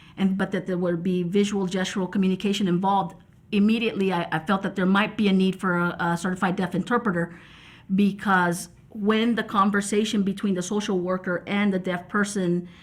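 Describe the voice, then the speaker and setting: Very cleanly recorded over a silent background, a woman talks at a fairly quick pace in a medium-pitched, somewhat breathy voice with monotone, flat intonation. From Texas, Mexican-American. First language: American Sign Language. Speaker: sign language interpreter. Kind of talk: reflective interview talk. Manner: halting, many fillers and repetitions.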